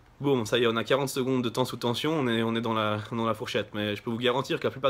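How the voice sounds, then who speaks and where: A man speaks very fast at a medium pitch. His intonation is monotone and flat. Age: 20s. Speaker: bodybuilder. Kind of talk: vlog. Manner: halting.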